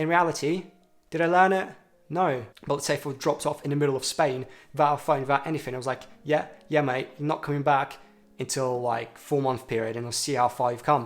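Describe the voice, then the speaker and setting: With music in the background, a man with a fairly high pitch speaks at a very fast pace and fairly even intonation. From Russia, moved to UK at ten. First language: Russian. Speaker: self-improvement vlogger. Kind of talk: casual talking-head vlog. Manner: casual, conversational with fillers.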